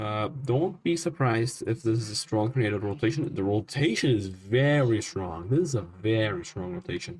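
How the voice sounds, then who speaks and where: A man with a non-native accent and a somewhat breathy voice. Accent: non-native, self-noted pronunciation issues. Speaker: storm nowcasting streamer. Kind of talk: live weather commentary. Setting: live stream. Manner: halting, many fillers.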